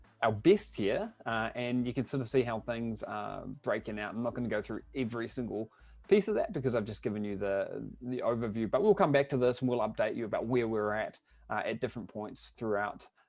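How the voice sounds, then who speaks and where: Moving at a fairly quick pace, a man with a New Zealand accent speaks at a medium pitch with ordinary pitch variation. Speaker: online business coach. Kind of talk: webinar presentation. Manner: hesitant, many fillers.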